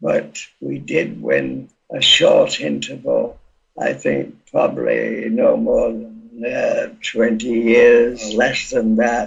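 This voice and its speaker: A man speaks very slowly with a Yorkshire accent. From Yorkshire, northern England. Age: 90s. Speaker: campaigner. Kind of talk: interview testimony. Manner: halting, many hesitations.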